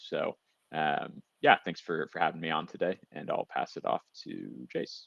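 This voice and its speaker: A man speaks with an American accent at a moderate pace. The sound is dry and close, with no echo. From US, San Francisco. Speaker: software account executive. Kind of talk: webinar presentation.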